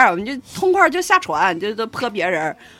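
A woman speaks loudly at a medium pitch. Her voice makes very wide pitch swings. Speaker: podcast co-host. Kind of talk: casual chat.

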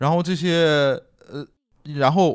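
A man talks with a slight northeastern Chinese accent. The recording is very clean, with a silent background. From Dalian, northeast China. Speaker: archaeology PhD student and graphic designer. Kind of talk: casual chat.

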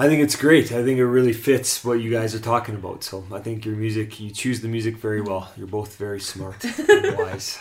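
A man talking at a fairly quick clip over noticeable background noise. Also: medium pitch for a man, fairly even intonation. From Canada. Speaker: co-host's husband, charity worker. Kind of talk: casual chat.

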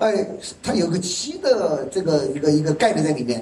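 A man is speaking. Audible room echo and noticeable background noise come through. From China, Yichang (Hubei). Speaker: sales presenter at product launch. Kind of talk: sales pitch. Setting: stage with audience. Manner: animated.

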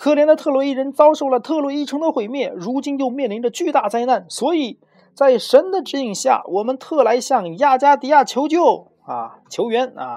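A man's put-on character voice, extremely high-pitched, with a dark, mellow tone, lively intonation and a moderate pace

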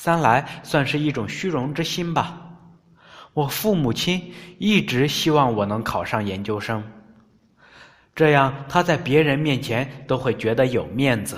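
A man with a fairly high pitch talks at a fairly slow pace and uses lively intonation. Long, frequent pauses break up his speech. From rural China. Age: 30s. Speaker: podcast narrator. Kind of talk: scripted narration.

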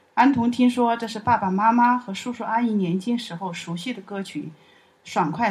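A somewhat breathy woman at a moderate pace. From Chongqing, China. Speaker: university alumna and parent. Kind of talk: personal testimony.

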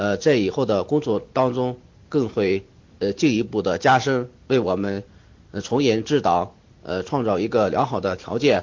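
Here a man talks at a medium pitch and a moderate pace. His pitch variation is ordinary. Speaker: exam candidate student. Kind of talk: mock interview answer. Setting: online voice chat. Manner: halting, many fillers.

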